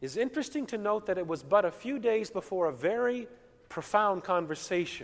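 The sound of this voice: This is an unforced reading voice. The words are read out in it.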